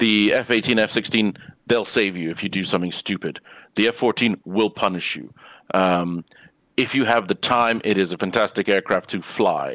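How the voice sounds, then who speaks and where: An ordinary speaking voice, a man's at fairly low pitch, moves at a moderate pace with fairly even intonation in a dry, close sound with no echo over a very clean, silent background. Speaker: flight sim panel member. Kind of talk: casual panel chat.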